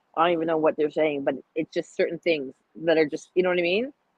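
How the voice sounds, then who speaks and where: A woman with a Toronto accent talks at a fairly quick pace in a fairly low pitch. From Toronto, Canada. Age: 30s. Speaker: podcast guest, cigar enthusiast. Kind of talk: casual chat. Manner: animated, frequent filler phrases.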